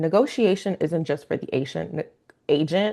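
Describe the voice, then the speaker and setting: Against a quiet background, a woman talks at a fairly quick pace with a fairly low pitch, ordinary pitch variation and vocal fry. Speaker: realtor. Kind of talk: webinar presentation. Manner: fast.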